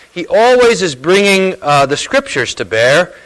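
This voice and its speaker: Noticeable background noise accompanies a high-pitched man whose intonation is lively. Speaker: church host introducing speaker. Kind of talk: introduction and announcements. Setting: church gathering.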